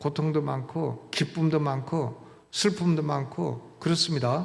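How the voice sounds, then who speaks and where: A man with a fairly high pitch speaks at a very slow pace, his intonation fairly even, with audible room echo. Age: 70s. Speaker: pastor. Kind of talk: sermon. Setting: church. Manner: conversational, with filler sounds.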